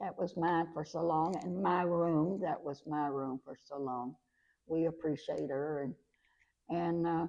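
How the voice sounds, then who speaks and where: A woman with a Kentucky accent speaks at a fairly slow pace in a very deep, low voice, her pitch varying in an ordinary way. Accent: rural Kentucky Southern US. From Kentucky, Lincoln County. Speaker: retired schoolteacher. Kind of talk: interview reminiscence. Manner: halting.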